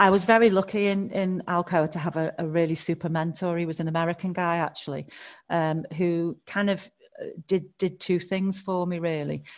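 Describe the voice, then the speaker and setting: A woman in a Scouse accent speaks at a moderate pace and fairly low pitch with fairly even intonation against a quiet background. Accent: Liverpool (Scouse) accent, noticeable. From Liverpool, England. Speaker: HR director. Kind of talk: interview conversation.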